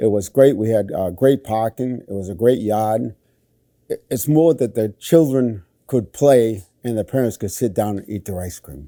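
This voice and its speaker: Here a man talks at a moderate pace and medium pitch, with ordinary pitch variation and big swings in loudness. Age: 60s. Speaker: bar owner and disc jockey. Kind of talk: casual interview. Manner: halting, many fillers.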